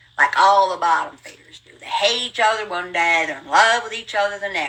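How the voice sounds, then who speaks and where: A woman with an American accent talks at a fairly quick pace in a medium pitch, her tone animated, bright and sharp. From rural US hill country. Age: 70s. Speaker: livestreamer. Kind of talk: casual storytelling monologue. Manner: fast.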